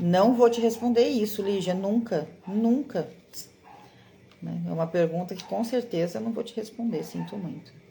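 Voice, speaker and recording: A woman's dark, mellow tone with vocal fry, ordinary pitch variation, big swings in loudness and a moderate pace. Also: medium pitch for a woman. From Brazil, Mato Grosso do Sul (Campo Grande). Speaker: card-reading teacher and mentor. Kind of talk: live online class. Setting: livestream. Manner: encouraging, conversational.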